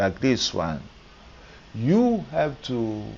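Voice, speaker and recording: A man at a very slow pace. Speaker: maths teacher. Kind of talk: tutorial. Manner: soft-spoken; halting.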